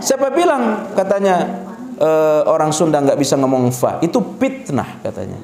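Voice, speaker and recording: A high-pitched man talks with very wide pitch swings. Audible room echo and noticeable background noise surround his voice. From Sulawesi, Indonesia. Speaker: Islamic preacher. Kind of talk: religious lecture Q&A.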